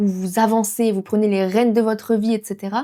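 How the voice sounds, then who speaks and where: Her voice sits fairly high for a woman, yet its tone stays dark and mellow. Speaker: tarot card reader. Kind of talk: tarot reading video. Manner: fast.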